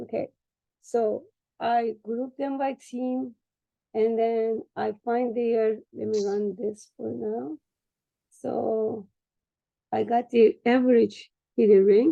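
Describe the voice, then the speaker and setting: A woman talks at a very slow pace with a Turkish accent, leaving long, frequent pauses. The sound is dry and close, with no echo. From Turkey. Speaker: trainee doing a data exercise. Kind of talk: screen-share tutorial session. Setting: video call with screen share. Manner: halting.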